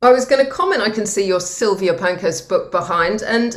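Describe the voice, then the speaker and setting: A woman with a Welsh accent talks at a fairly quick pace in a fairly high voice with very wide pitch swings. Noticeable background noise and audible room echo are present. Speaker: green finance executive. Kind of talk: interview conversation.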